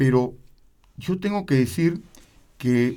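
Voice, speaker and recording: Speaking very slowly with a Peruvian accent, a man has a dark, mellow tone, a fairly high pitch and very wide pitch swings. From Peru, Lima (Miraflores). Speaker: opera tenor. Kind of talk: interview.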